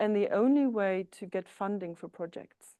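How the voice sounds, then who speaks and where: A woman with a German accent, her tone dark and mellow, lively intonation, moderate pace, quiet background. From East Germany. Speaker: psychotherapist. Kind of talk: lecture. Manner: hesitant, with filler sounds.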